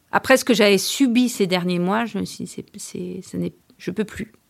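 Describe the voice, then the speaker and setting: This woman talks fairly slowly at a medium pitch. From France, Orléans. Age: 40s. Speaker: lawyer, burnout survivor. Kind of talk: personal testimony. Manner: halting.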